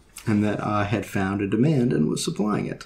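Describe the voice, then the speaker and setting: A soft-spoken man has a dark, mellow tone and a somewhat breathy voice. Light background noise is present. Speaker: woodcarver. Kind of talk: personal anecdote.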